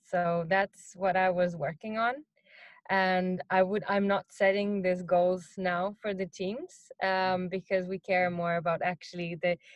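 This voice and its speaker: A woman's medium-pitched voice at a fairly slow pace, monotone and flat in intonation, with a non-native accent. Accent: noticeable non-native English. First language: not English. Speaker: marketing executive. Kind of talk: interview. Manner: hesitant, many fillers.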